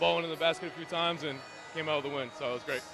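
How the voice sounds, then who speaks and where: A man speaks with music playing behind him. His pitch sits fairly high for a man. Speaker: sports broadcaster (play-by-play announcer and interviewer). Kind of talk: post-game basketball interview questions. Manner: conversational, upbeat.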